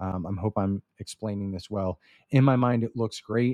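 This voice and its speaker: A plain, everyday voice with fairly even intonation sounds dry and close with no echo against a quiet background. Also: man. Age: 30s. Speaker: business coach podcast host. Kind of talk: solo instructional talk. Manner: casual with frequent fillers.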